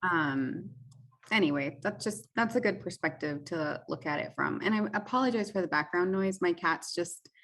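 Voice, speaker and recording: An ordinary speaking voice from a woman, fairly low in pitch, at a moderate pace with lively intonation. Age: 30s. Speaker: podcast co-host. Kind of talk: casual chat. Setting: remote recording from home.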